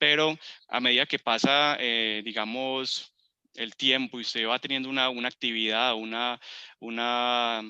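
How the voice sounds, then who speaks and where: Fairly slow and with fairly even intonation, a man speaks at medium pitch in an unremarkable speaking voice. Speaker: computer course instructor. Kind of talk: tutorial. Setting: video call.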